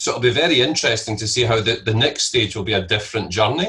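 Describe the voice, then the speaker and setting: A man with a Scottish accent, medium pitch, a bright, sharp tone and a fairly quick pace. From Scotland. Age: 50s. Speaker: entrepreneur and investor. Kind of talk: interview.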